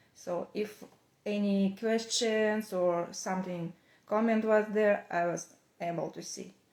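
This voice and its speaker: A woman in a Russian accent speaks very slowly at a medium pitch, in a flat monotone. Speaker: knitwear designer. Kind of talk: casual chat. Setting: Instagram live video. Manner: halting.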